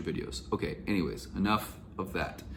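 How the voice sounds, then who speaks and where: A man's voice with vocal fry and audible room echo. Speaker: YouTuber, real estate investor and Airbnb host advisor. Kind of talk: casual vlog commentary.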